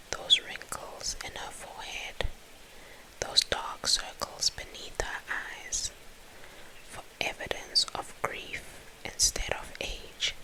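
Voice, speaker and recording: Someone whispers at a very slow pace with long, frequent pauses. Noticeable background noise fills the clip. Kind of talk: soft whispered ASMR book reading to help sleep. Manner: whispered, soft.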